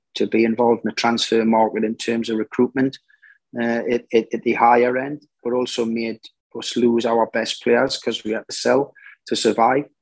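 This man talks at a moderate pace in a Geordie accent, his pitch medium for a man. His intonation is monotone and flat, and the sound is dry and close with no echo. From northern England, Newcastle. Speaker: football manager, former player. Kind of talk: interview.

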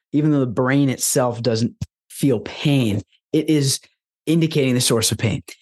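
An ordinary speaking voice from a man, fairly high in pitch, with ordinary pitch variation, a fairly quick pace and a dry, close sound with no echo. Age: 20s. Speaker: holistic lifestyle coach and former monk. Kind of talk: casual interview chat.

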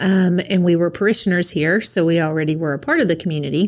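A woman with a Tennessee accent talks at a fairly quick pace in a fairly low voice with ordinary pitch variation, against noticeable background noise. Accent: Southern US (Tennessee). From East Tennessee (near Knoxville), US South. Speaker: school principal. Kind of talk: interview. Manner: hesitant, many fillers.

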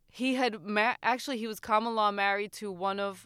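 An unremarkable speaking voice from a woman, fairly high-pitched with ordinary pitch variation, at a moderate pace in a very clean recording with a silent background. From New Jersey, Puerto Rican family. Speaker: podcaster. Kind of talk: casual chat.

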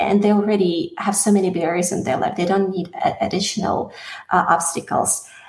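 A woman's medium-pitched voice with a slight Russian accent, fairly even intonation and a fairly quick pace. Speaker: singer. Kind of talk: interview.

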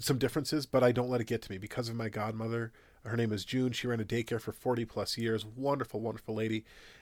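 In a very clean recording with a silent background, a man with an American accent talks at a very fast pace and a medium pitch. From US Upper Midwest, South Minneapolis. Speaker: entrepreneur, CBD store owner. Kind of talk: interview conversation.

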